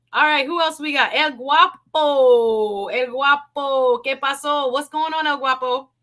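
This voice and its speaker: A woman with a high-pitched, raised, projected voice and a bright, sharp, animated tone speaks at a fairly slow pace with ordinary pitch variation and hardly any pauses. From South Florida. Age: 40s. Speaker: live stream talk show host. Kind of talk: live stream call-in chat.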